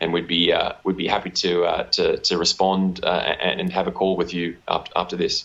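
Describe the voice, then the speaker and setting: With an Australian accent, a man talks at a moderate pace. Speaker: mining royalty company executive. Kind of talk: interview. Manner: many fillers and repetitions.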